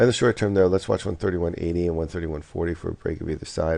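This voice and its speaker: A man's dark, mellow tone with vocal fry. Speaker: forex market commentator. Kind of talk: market analysis video. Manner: halting, many fillers.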